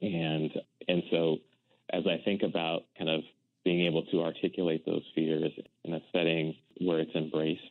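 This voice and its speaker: In an American accent, a man talks with a very deep, low pitch. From US Mid-Atlantic, Washington DC area (Silver Spring, Maryland). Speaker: nonprofit finance executive. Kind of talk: interview.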